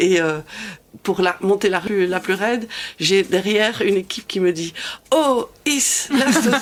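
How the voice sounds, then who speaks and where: Noticeable background noise sits behind a woman speaking at a fairly slow pace. Her pitch is medium and her intonation lively. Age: 60s. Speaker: cycling community group founder. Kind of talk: casual chat. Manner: halting.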